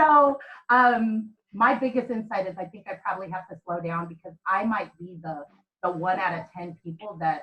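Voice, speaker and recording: A plain, everyday voice at a moderate pace. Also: woman. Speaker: program participant. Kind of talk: group video call discussion. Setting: video call.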